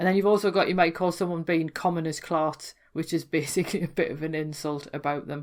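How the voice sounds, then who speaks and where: With a Geordie accent, a woman talks at a fairly quick pace with hardly any pauses, a fairly low pitch and fairly even intonation, on a very clean recording with a silent background. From Newcastle, North East England. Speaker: folklore podcaster. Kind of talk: casual explanatory talk to camera.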